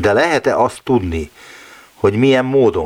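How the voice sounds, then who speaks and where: A man talks at a moderate pace. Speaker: radio science show host. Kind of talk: radio interview. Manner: polite, formal.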